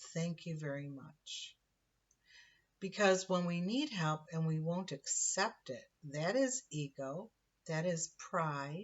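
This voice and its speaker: Speaking at a very slow pace, a woman uses a fairly low, somewhat breathy voice with ordinary pitch variation. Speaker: spiritual teacher. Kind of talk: spiritual monologue. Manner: halting.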